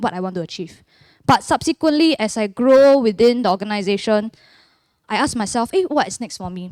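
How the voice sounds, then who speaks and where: In a very clean recording with a silent background and a dry, close sound with no echo, a woman with a Singaporean accent speaks at a moderate pace, her fairly high voice carrying lively intonation. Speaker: church member giving testimony. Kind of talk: testimony.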